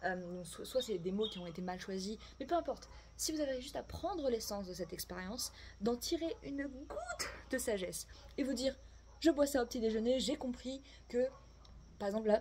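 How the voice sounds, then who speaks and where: With a high pitch and very wide pitch swings, a woman speaks with long, frequent pauses over noticeable background noise. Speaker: tarot and oracle card reader. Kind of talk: oracle card reading for viewers. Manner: casual, hesitant with fillers.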